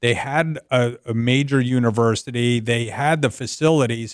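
A speaker with an American accent and an unremarkable speaking voice. The pace is moderate. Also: man. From US Northeast, North Jersey. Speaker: business advisory CEO. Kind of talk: radio sports talk interview. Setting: radio show.

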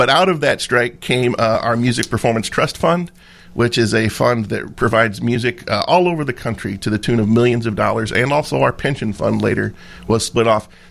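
At a fairly quick pace, a man of medium pitch speaks with vocal fry and ordinary pitch variation. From US Midwest (Brazil, Indiana). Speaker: union president, trumpet player. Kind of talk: radio interview.

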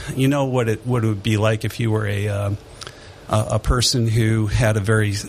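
A man with an American accent speaks at a moderate pace in a flat, monotone delivery over noticeable background noise. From Detroit, Michigan. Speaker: church council representative. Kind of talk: casual radio interview.

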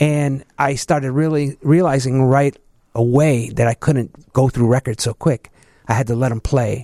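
Speaking with a Chicago accent at a moderate pace, a man has a dark, mellow tone, medium pitch and fairly even intonation, in a dry, close sound with no echo. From Chicago, southeast side. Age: 50s. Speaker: DJ. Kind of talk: casual interview.

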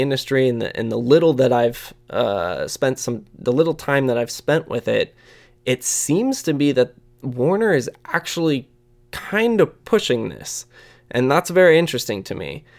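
The speaker has an American accent and a moderate pace, on a very clean recording with a silent background. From US Midwest, Indiana. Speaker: podcast host and music web editor. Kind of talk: solo podcast monologue, listener questions. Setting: office. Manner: casual.

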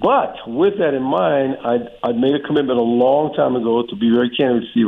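Using a normal speaking voice, a man of medium pitch talks at a fairly quick pace. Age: 60s. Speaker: former college baseball coach. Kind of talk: casual radio interview. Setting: phone call. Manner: jokey, chatty.

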